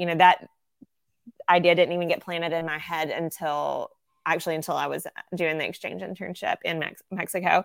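A woman with a Southern US accent, at a fairly quick pace. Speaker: ministry worker. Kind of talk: casual interview conversation.

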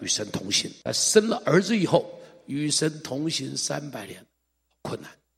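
A man's fairly high, fry-laden voice at a fairly slow pace, with very wide pitch swings. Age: 60s. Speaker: pastor. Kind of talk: sermon. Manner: animated.

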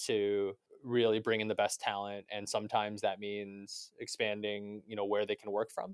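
Here is a man with a Canadian accent and a plain, everyday voice, fairly low in pitch. He talks at a moderate pace, and the sound is dry and close with no echo. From Canada. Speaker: tech executive. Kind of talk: interview.

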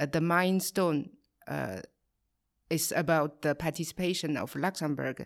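A woman with a Chinese accent, very deep, low pitch, vocal fry and fairly even intonation at a moderate pace, on a very clean recording with a silent background. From China, Qingdao. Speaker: trade advisor, co-host. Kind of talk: podcast interview.

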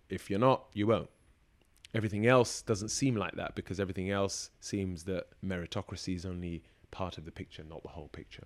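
The fairly quick speech shows big swings in loudness and ordinary pitch variation on a very clean recording with a silent background. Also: man, very deep, low pitch for a man. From Kenya, then deprived areas of the UK from age nine. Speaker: barrister and broadcaster. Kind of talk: interview. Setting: law firm office.

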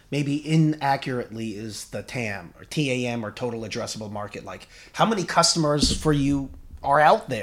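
An unremarkable speaking voice from a man with an American accent, fairly high pitch, lively intonation, big swings in loudness and a moderate pace, on a very clean recording with a silent background. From US. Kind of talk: casual interview.

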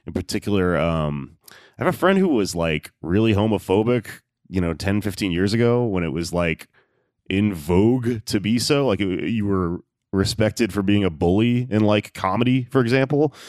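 In an ordinary speaking voice, a man with an American accent speaks at a fairly low pitch and moderate pace. His pitch varies in an ordinary way, and the sound is dry and close with no echo. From Texas, Houston. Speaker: stand-up comedian and podcast host. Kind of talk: casual chat.

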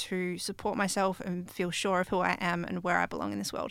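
Recorded very cleanly over a silent background, a woman with an Australian accent speaks at a medium pitch and a fairly quick pace. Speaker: young LGBTI interviewee. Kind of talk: interview answer. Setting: studio.

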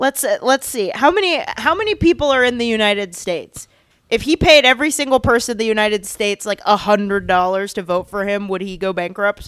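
A woman speaks in a normal speaking voice at a fairly high pitch and fairly quick pace, with lively intonation and hardly any pauses, in a dry, close sound with no echo. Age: 20s. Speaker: podcast co-host, TV editor. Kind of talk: casual chat.

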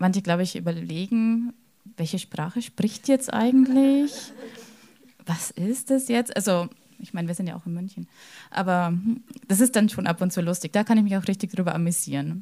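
A woman's somewhat breathy, dark, mellow voice of medium pitch, at a moderate pace with ordinary pitch variation and long, frequent pauses. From Lower Bavaria, Germany. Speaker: secondary school teacher. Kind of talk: panel discussion.

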